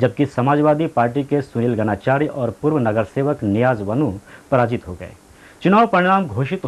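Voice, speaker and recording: Lively intonation runs through an ordinary speaking voice. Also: man. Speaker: news anchor. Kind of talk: TV news bulletin read.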